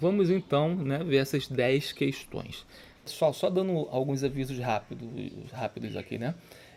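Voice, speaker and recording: A man's unremarkable speaking voice, fairly high-pitched, at a fairly slow pace with ordinary pitch variation. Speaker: Portuguese grammar teacher for exam prep. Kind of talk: tutorial.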